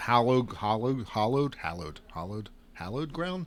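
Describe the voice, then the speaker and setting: Lively intonation marks this man's fairly quick delivery, which has a medium pitch and an American accent. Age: younger than 60s. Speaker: guitar shop owner and podcast host. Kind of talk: casual chat. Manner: animated storytelling.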